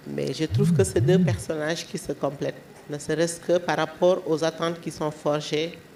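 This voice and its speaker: This woman's pitch is very deep and low. She talks at a very slow pace over noticeable background noise. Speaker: panelist on feminist literature. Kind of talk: panel discussion.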